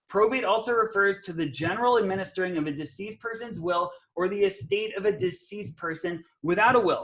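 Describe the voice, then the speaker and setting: Very fast, animated speech from a man with a high pitch and ordinary pitch variation. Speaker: real estate investor and coach. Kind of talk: webinar presentation. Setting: live webinar video call.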